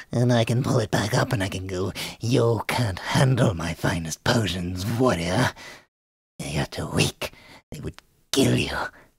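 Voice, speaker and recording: Putting on a character voice, a man speaks at a fairly low pitch and a moderate pace. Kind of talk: voice tutorial talk to camera. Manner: condescending.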